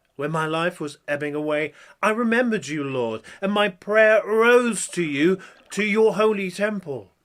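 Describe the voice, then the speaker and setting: Here is a man with an unremarkable speaking voice. He talks at a fairly slow pace with lively intonation. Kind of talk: Bible prayer reading, in character as the prophet.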